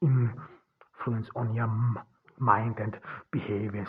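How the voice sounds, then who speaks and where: A man speaks at a medium pitch and a fairly slow pace. His voice is somewhat breathy, with fairly even intonation. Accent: non-native. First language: not English. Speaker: podcast host. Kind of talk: solo podcast monologue. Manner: halting, many fillers and restarts.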